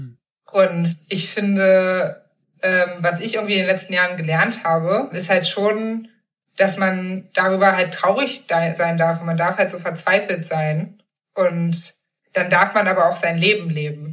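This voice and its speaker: A woman speaks in an ordinary speaking voice at medium pitch. Her pace is fairly slow and her intonation fairly even. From eastern Germany, Magdeburg. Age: 30s. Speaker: journalist and author. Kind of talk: casual interview.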